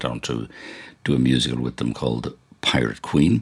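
An Irish accent over noticeable background noise. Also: man. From Ireland. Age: 70s. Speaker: podcast host and TV director. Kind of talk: casual radio-style presenting.

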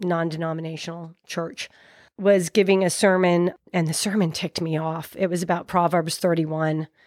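An ordinary speaking voice with an American accent, at a moderate pace, on a very clean recording with a silent background. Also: woman. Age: 50s. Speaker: guest sharing faith story. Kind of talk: testimony.

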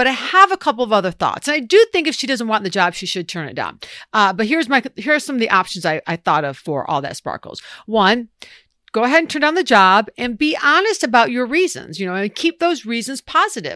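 A woman speaks at a fairly quick pace in a fairly high, bright, sharp voice with an animated tone, vocal fry and very wide pitch swings, on a very clean, dry, close recording with no echo and a silent background. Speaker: podcast co-host giving workplace advice. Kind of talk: casual banter and advice chat. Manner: animated, joking, chatty.

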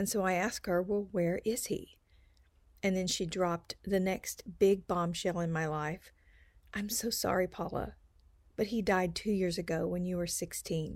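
A woman with an American accent and a plain, everyday voice talks at a fairly slow pace in a medium pitch, her intonation fairly even. The recording is very clean, with a silent background. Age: 60s. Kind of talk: personal storytelling.

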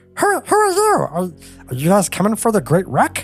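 A man's put-on character voice, high-pitched and at a moderate pace, with faint music in the background

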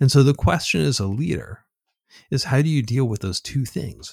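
A man speaks at a moderate pace with lively intonation and a somewhat breathy voice. The recording is very clean, with a silent background. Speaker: author and futurist. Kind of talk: casual interview. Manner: halting, filler-heavy.

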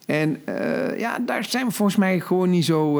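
A man talks at a moderate pace in a normal speaking voice. His intonation is lively. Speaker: podcast co-host. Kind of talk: casual chat. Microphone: new microphone.

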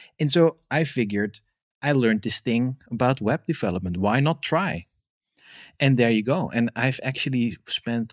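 In a dry, close sound with no echo and a very clean recording with a silent background, a man with a Dutch accent speaks at a medium pitch and moderate pace with ordinary pitch variation. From Netherlands, Amsterdam. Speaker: developer advocate. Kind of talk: interview.

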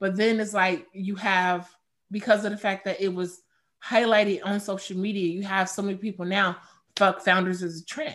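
In an ordinary speaking voice, a woman of medium pitch talks at a moderate pace with fairly even intonation. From Chicago. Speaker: craft beer advocate and influencer. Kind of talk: casual chat.

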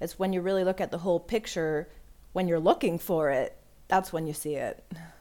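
With an ordinary speaking voice, a woman talks at a fairly low pitch and with fairly even intonation, in a very clean recording with a silent background. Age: 40s. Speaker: amateur runner. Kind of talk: interview.

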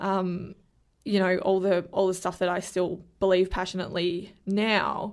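A woman of medium pitch with an Australian accent, in a very clean recording over a silent background. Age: 20s. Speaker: young politician and animal rights activist. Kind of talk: casual interview.

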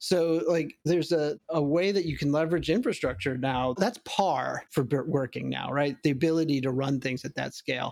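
Fairly quick, fairly high-pitched delivery from a man with a normal speaking voice and ordinary pitch variation. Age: 40s. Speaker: machine learning engineering director. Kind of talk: interview.

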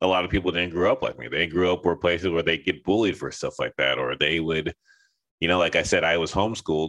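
A man with an American accent talks at a very fast pace. His voice carries vocal fry. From US West Coast, Los Angeles. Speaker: artist and cosplayer. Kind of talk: casual interview. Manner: halting, many fillers.

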